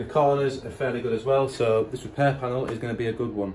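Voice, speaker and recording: A man talking at a fairly quick pace with ordinary pitch variation over light background noise. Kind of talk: tutorial. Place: garage. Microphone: phone near.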